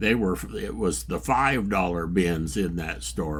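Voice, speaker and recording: A man talks at a moderate pace with vocal fry and very wide pitch swings. Room echo is audible. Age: 80s+. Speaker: record collector vlogger. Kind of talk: casual vlog. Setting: record store. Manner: relaxed conversational.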